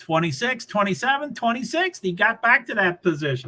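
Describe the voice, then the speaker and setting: A man's high, raised, projected voice. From Kentucky, Louisville. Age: 60s. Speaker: livestreamer. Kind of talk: live race commentary. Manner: casual, rambling.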